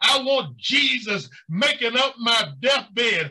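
A man's animated, raised and projected voice with lively intonation against a quiet background. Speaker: preacher. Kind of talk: sermon. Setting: church. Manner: animated, rhythmic pulpit delivery with call-and-response. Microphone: webcam.

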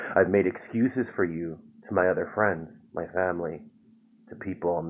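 Against a quiet background, a man speaks in a calm tone with a very deep, low pitch. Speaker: poet reading own work. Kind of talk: spoken word poetry reading, raw confessional and angry. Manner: builds from calm intro to bitter, exasperated intensity; rhythmic, repetitive incantation of refrains. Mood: calm, weary, reflective. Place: home room. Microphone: phone near.

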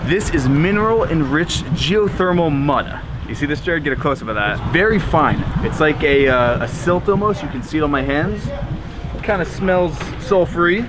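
With noticeable background noise, a man talks at a moderate pace. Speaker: travel vlogger. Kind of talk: casual vlog chat.

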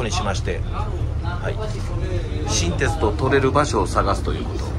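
Fairly slow speech under loud background noise. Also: man. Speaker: vlogger filming the bus trip. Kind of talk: casual vlog chat. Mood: cheerful, chatty. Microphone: phone near.

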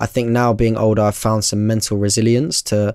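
In a London accent, a man speaks at a fairly low pitch with fairly even intonation. The sound is dry with no echo, over a quiet background. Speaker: barber and content creator; content creator. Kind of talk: casual chat. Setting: studio. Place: studio. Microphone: studio mic.

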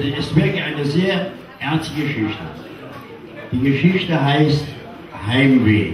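Against noticeable background noise and audible room echo, a man talks at a very slow pace. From Cologne, Germany. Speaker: carnival entertainer. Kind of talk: emotional personal story told to an audience. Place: stage.

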